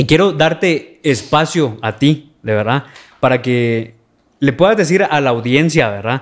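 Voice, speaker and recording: A plain, everyday voice from a man with fairly high pitch and lively intonation, at a fairly slow pace, on a very clean recording with a silent background. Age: 20s. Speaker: podcast host. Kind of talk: casual interview.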